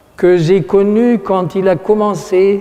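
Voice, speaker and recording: A man with a German accent and a high pitch, at a very slow pace over noticeable background noise. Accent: German accent in French, imperfect French. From Germany, Aachen. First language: German (speaking French). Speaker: art critic speaking at an exhibition opening. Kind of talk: formal speech to an audience. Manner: halting, with hesitations and self-corrections.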